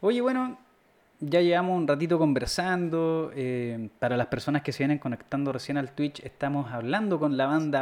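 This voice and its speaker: In a Chilean accent, a man talks at a fairly slow pace. His pitch is fairly high, with ordinary pitch variation. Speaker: podcast host. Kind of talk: casual chat. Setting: live stream. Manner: animated.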